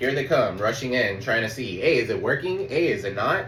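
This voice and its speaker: Fairly quick speech from a man, amid noticeable background noise and audible room echo. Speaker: tarot reader. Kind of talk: tarot reading. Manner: fast; casual, swearing.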